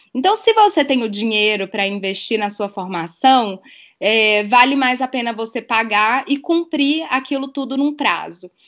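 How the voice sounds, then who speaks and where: A woman's normal speaking voice, fairly high in pitch with lively intonation, at a fairly slow pace against a quiet background. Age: 30s. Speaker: dive instructor and biologist. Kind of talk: podcast interview.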